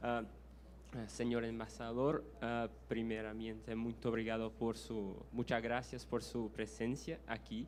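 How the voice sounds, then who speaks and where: With a Brazilian accent, a man talks at a fairly slow pace amid audible room echo. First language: Portuguese (speaking Spanish). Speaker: audience member asking a question. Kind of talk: Q&A question at a lecture. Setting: university auditorium. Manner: halting, many fillers and restarts.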